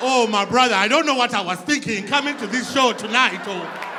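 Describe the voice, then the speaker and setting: Over crowd noise and audible room echo, a man with an extremely high pitch for a man and ordinary pitch variation speaks at a moderate pace in an animated, raised, projected voice. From Zimbabwe. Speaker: comedian. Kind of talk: stand-up. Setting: stage with audience.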